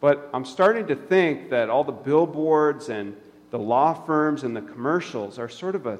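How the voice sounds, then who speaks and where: With an unremarkable speaking voice, this man talks at a moderate pace, fairly high in pitch, with lively intonation. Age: 30s. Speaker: pastor. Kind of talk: sermon. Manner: casual, conversational.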